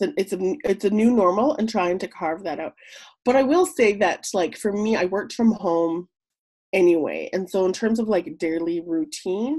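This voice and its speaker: A woman with a Canadian accent talks at a fairly slow pace in an ordinary speaking voice, her pitch in the medium range. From Yukon, Canada (Whitehorse). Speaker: entrepreneur, soap maker. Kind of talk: casual interview. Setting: remote call.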